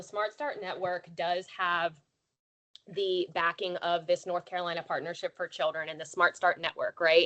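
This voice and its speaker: In a plain, everyday voice, a woman of medium pitch talks at a moderate pace, the sound dry and close with no echo. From western Maryland. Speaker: childcare nonprofit leader. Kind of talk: online presentation.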